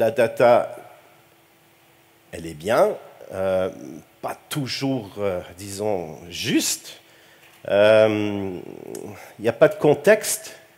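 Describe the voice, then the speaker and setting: Speaking very slowly with a Quebec accent, a man leaves long, frequent pauses while his loudness swings widely. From Quebec, Montreal. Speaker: computing researcher, keynote speaker. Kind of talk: conference keynote. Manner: hesitant, many fillers and repetitions.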